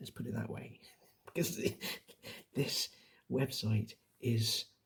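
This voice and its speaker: A soft-spoken man talks at a medium pitch and a fairly slow pace. His tone is dark, mellow, gentle and somewhat breathy. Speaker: quiz host. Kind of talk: ASMR quiz narration. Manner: soft-spoken, gentle, conversational.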